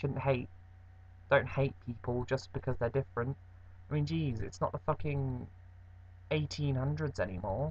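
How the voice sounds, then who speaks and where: Lively intonation and vocal fry mark this man's medium-pitched voice, which moves at a moderate pace with long, frequent pauses. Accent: English. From England. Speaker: vlogger. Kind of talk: casual vlog monologue. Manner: rambling, halting with fillers.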